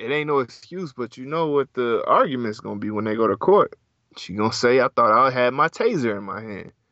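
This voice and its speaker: A man with an American accent speaks at a fairly quick pace in an ordinary speaking voice, pitched in the medium range. His intonation is lively, and his loudness swings a lot. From US South. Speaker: podcast co-host. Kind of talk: casual chat.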